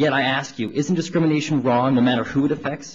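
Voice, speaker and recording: Speaking at a fairly quick pace, a man with an American accent has a fairly high pitch and ordinary pitch variation. His voice is somewhat breathy. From New York, New Rochelle. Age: 20s. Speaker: student activist. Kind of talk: public testimony at a council hearing. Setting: council hearing room, microphone. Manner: formal.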